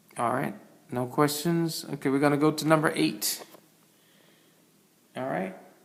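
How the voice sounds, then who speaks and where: A man speaks with ordinary pitch variation, and the room echo is audible. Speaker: math teacher. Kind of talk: online class lesson.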